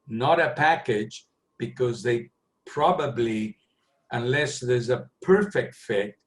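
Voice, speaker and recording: Speaking very slowly with a Spanish accent, the man has a medium pitch, a somewhat breathy quality and lively intonation. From Argentina. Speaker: planning software consultant. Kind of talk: webinar Q&A. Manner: halting.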